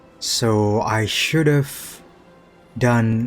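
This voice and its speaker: Over music in the background, a man with a non-native accent speaks at a medium pitch with fairly even intonation. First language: not English. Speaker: gaming youtuber. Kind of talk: casual chat; reading aloud. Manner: halting; narration style, imitating voice actor.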